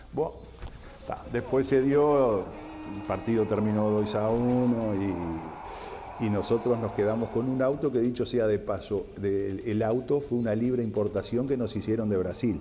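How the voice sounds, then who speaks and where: A man's medium-pitched voice with a Uruguayan accent, at a fairly slow pace with ordinary pitch variation, over noticeable background noise. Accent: Rioplatense Spanish (Uruguayan). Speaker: former footballer. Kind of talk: interview testimony.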